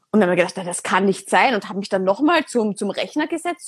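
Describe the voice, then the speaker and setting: Speaking at a very fast pace, a woman with a fairly high pitch sounds somewhat breathy and makes very wide pitch swings. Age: 20s. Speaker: podcast host. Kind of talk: casual interview on Instagram live. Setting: Instagram live recording. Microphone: poor sound quality.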